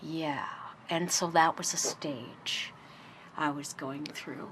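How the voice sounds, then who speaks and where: This woman speaks in a whisper. Her delivery is extremely slow. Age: 60s. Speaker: interviewee sharing life story. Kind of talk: personal interview. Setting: radio interview.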